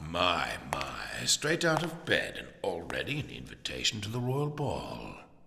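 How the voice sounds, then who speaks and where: Over light background noise, a man does a put-on character voice at medium pitch and a fairly slow pace. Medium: video game. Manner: smooth, condescending.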